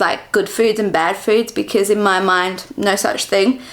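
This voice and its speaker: Noticeable background noise accompanies a woman with an Australian accent speaking at a moderate pace. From Western Australia, Perth. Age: 20s. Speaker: vlogger. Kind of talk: casual chat.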